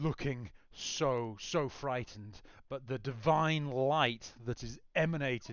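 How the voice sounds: The voice is a natural reading voice. Its pitch variation is ordinary.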